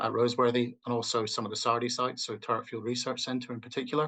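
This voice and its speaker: The speech is very fast with a bright, sharp tone. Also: man. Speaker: agricultural researcher. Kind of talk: webinar presentation. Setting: online webinar.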